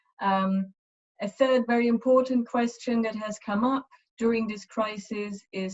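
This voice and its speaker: Speaking with a German accent, a woman talks at a fairly slow pace with ordinary pitch variation. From Eastern Germany. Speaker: university lecturer. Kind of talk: webinar presentation. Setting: online webinar. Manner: hesitant, many fillers.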